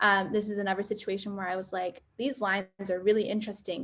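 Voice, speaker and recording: Here a woman speaks with a medium pitch at a fairly quick pace. It is an ordinary speaking voice on a very clean recording with a silent background. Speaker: photographer. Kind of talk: workshop presentation.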